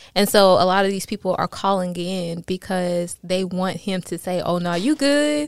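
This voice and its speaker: Moderate pace and ordinary pitch variation in a very clean recording with a silent background. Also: woman, medium pitch for a woman. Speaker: podcast guest. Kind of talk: casual chat.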